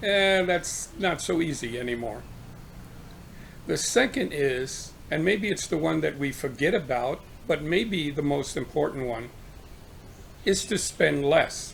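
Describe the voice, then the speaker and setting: Vocal fry runs through this voice, and the intonation is lively. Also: man, fairly high pitch for a man. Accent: American. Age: 70s. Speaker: retiree sharing financial advice. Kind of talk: informal talk to camera.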